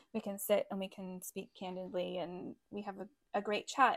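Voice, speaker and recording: Using a normal speaking voice, a woman talks at a moderate pace and medium pitch. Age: 30s. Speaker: business owner and rug hooking hobbyist. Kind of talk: casual chat.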